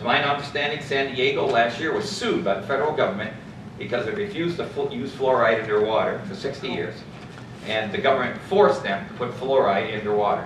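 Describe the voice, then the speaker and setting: Amid noticeable background noise and audible room echo, a man talks at a very fast pace with a fairly high pitch and lively intonation. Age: 60s. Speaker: local resident giving public comment. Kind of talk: public comment at council meeting.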